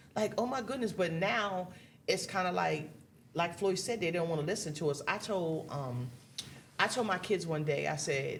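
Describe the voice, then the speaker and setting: A woman with a very deep, low pitch talks at a moderate pace, her pitch swinging very widely. Her tone is animated, and room echo is audible. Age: 60s. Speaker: married guest. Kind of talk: casual chat.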